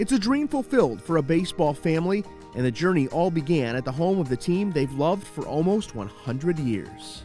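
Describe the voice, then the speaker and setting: Fairly high male voice with very wide pitch swings at a fairly quick pace, music playing in the background. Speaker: reporter. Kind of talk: TV news feature narration.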